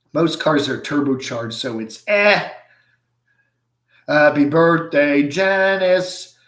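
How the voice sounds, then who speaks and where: A man with a fairly high pitch and ordinary pitch variation talks at a very slow pace, leaving long, frequent pauses. Room echo is audible. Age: 60s. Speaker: livestream host reading viewer comments. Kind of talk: casual live chat. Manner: halting, many fillers.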